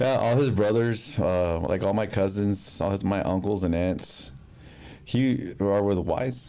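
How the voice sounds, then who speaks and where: Mumbled speech in an American accent, fairly slow, with ordinary pitch variation, very even loudness and audible room echo. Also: man, fairly low pitch for a man. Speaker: podcast guest. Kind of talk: casual chat. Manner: mumbling.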